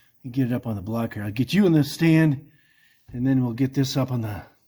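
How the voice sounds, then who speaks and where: Mumbling at a moderate pace, a man speaks at medium pitch with ordinary pitch variation, in a somewhat breathy voice with a dark, mellow tone. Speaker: hobby mechanic restoring a jeep. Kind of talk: casual talk to camera while working. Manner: mumbling, talking to himself.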